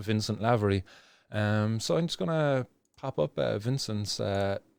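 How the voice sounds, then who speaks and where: A man with a Cork accent speaks at a moderate pace in a fairly low voice, with ordinary pitch variation. The sound is dry and close, with no echo, and the recording is very clean, with a silent background. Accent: Irish (Cork). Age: 30s. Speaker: cannabis activist vlogger. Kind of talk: casual video commentary. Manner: halting, many fillers and restarts.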